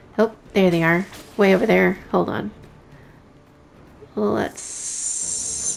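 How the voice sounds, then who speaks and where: Over noticeable background noise, a woman with a fairly low pitch speaks at a very slow pace, her pitch swinging very widely between long, frequent pauses. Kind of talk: casual gameplay commentary. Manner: soft-spoken.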